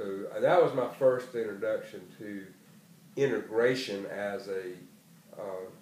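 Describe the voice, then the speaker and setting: The speaker, in a South Carolina Lowcountry accent, moves at a fairly slow pace with long, frequent pauses and big swings in loudness, with audible room echo around the voice. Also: man. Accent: South Carolina Lowcountry Southern US. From South Carolina, Charleston area. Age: 60s. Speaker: retired educator. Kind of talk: oral history interview. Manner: hesitant, frequent fillers.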